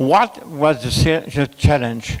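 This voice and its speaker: A man's intonation is lively, and noticeable background noise accompanies it. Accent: French. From France. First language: French. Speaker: conference speaker on telemedicine. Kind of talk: conference presentation. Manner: halting, many fillers.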